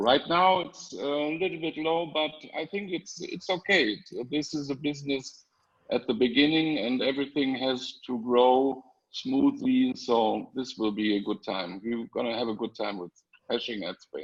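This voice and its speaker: Here a man speaks with a German accent. His intonation is lively. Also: fairly high pitch for a man, moderate pace. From Germany. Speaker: panelist. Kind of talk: testimony. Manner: halting, many fillers.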